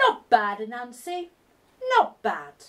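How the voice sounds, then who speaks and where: This woman puts on a character voice. It sits high in her range. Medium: read story. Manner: mocking, grand.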